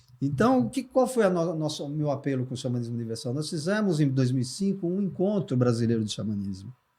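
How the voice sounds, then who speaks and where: A man speaks at a very fast pace in a fairly high, somewhat breathy voice with a dark, mellow tone. His pitch swings very widely, and he hardly pauses. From Brazil, São Paulo. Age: 60s. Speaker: shamanism teacher. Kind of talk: casual interview chat.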